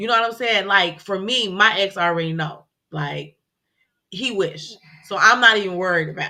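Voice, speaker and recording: A woman talks at a moderate pace in a bright, sharp tone, her medium pitch showing ordinary variation and her loudness swinging widely. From Chicago. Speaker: podcast co-host. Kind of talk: casual chat.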